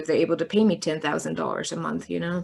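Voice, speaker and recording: In a German accent, a woman speaks at a fairly low pitch on a very clean recording with a silent background. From Germany (East Germany). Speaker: sociologist and filmmaker. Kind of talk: interview. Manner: hesitant, many fillers.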